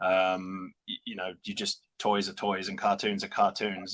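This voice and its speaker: A man speaks with a British accent. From UK. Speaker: toy and prop replica company representative. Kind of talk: casual interview.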